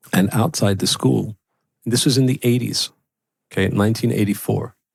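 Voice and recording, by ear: A man talks at a moderate pace with fairly even intonation. His voice has a slightly husky edge and vocal fry. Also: fairly low pitch for a man.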